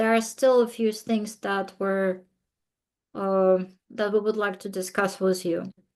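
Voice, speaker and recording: A woman's medium-pitched voice with a non-native accent, monotone and flat in intonation, at a fairly slow pace. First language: not English. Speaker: committee member. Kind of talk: committee meeting discussion. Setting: video call.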